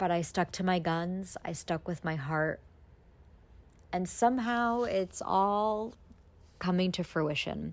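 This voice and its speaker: A woman with an American accent talks very slowly, with long, frequent pauses and ordinary pitch variation, on a very clean recording with a silent background. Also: medium pitch for a woman. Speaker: podcast host, travel blogger. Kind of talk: personal monologue podcast.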